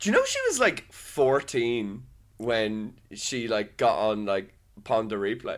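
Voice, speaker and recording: A man speaks with a Dublin accent at a very slow pace. His pitch is medium and his intonation fairly even. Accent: Dublin Irish. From Ireland, Dublin. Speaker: podcast co-host. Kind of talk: casual chat.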